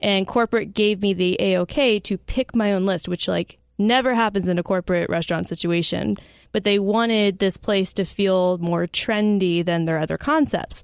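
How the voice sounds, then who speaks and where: With an unremarkable speaking voice, a woman talks at a moderate pace in a medium pitch, using ordinary pitch variation and very even loudness, in a dry, close sound with no echo on a very clean recording with a silent background. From Arizona, US. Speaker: brewery hospitality manager. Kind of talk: casual chat.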